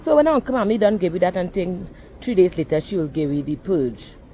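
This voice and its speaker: A woman's fairly low voice, fairly quick and lively in intonation, with music in the background. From Trinidad and Tobago. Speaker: storyteller. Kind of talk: personal storytelling.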